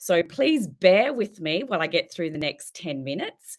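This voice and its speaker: With an Australian accent, a woman talks at a medium pitch. Her pitch swings very widely, and the background is quiet. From South Australia, Adelaide. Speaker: teacher and keynote speaker. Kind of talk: keynote talk.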